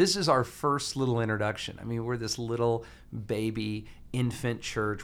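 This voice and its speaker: Audible room echo surrounds a man with an American accent speaking at a moderate pace. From US South, Alabama. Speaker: pastor. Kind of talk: casual interview about sermon series.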